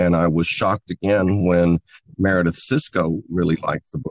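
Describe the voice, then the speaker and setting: Someone speaks with an American accent at a moderate pace. The sound is dry and close, with no echo. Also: man. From US Ozarks, rural. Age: 60s. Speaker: novelist. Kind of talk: podcast interview.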